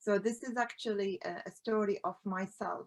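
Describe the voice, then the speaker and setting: The speech comes at a very slow pace in an Arabic accent. Its intonation stays fairly even. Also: woman. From Iraq. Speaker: collage artist, founder of a women's art group. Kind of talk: conference presentation. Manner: halting, many fillers.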